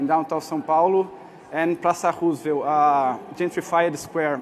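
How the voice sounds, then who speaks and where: A man's high voice in a flat monotone at a moderate pace, with light background noise. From Brazil. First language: Portuguese. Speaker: artist; speaker. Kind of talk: conference talk. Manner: halting. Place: hall.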